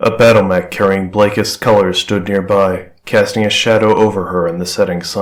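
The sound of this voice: The passage is read in an unforced reading voice.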